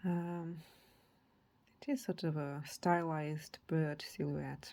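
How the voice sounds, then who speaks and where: On a very clean recording with a silent background, a woman with a non-native accent speaks in a fairly low pitch, with a dark, mellow tone and ordinary pitch variation. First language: not English. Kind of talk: casual show-and-tell. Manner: halting, with fillers.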